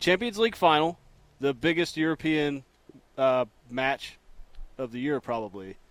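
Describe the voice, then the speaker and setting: Recorded with a dry, close sound and no echo, a man with an American accent and a fairly high voice speaks at a moderate pace with lively intonation and long, frequent pauses. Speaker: weatherman and radio co-host. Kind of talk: casual sports radio banter.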